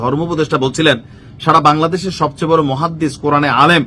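A man's fairly high voice, bright and sharp in tone, with ordinary pitch variation. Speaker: political commentator. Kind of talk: political commentary monologue. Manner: conversational, informal.

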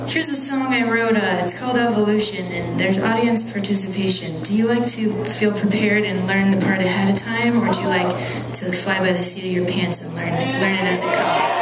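A woman talks at a fairly quick pace. Loud background noise runs under her voice. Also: hardly any pauses. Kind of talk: stage banter with audience. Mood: playful, self-deprecating humor. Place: stage.

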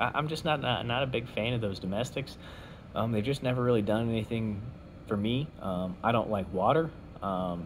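Light noise sits in the background while a man talks at a moderate pace, his pitch varying in an ordinary way. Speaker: beer review vlogger. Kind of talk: casual vlog chat. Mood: relaxed, opinionated. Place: home room. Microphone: phone near.

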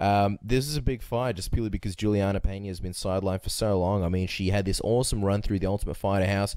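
In a very clean recording with a silent background, a man with an Australian accent talks at a very fast pace, his fairly low voice dark and mellow in tone, his intonation fairly even. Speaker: MMA podcast co-host. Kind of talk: casual interview and fight analysis chat.

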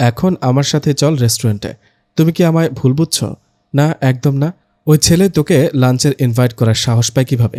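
The clip has a natural reading voice with ordinary pitch variation. The background is quiet.

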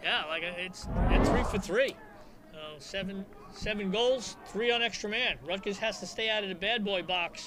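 Man with a high pitch and relaxed tone, ordinary pitch variation, fairly slow pace, noticeable background noise. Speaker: color commentator. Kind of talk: live sports commentary. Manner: conversational, relaxed analysis with chuckles.

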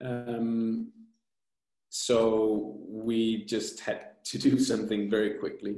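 The tone is dark and mellow, with little pitch movement and a slow pace. Room echo can be heard. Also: man, fairly low pitch for a man.

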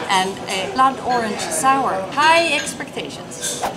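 A woman is speaking with clear music in the background. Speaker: travel vlogger tasting beer. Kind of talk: casual vlog chat. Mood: cheerful, playful. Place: bar. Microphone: phone near.

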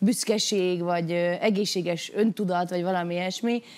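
Here a woman is talking. Her pace is fairly quick. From Hungary. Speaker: singer, talent show contestant; talk show guest. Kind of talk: studio talk show discussion; interview answer. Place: studio. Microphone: lapel.

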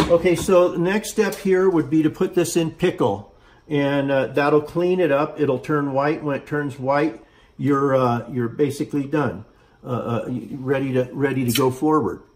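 At a moderate pace, a man speaks at a fairly high pitch with ordinary pitch variation. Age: 60s. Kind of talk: tutorial. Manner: halting, many fillers. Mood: calm, relaxed instruction. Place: workshop. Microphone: phone near.

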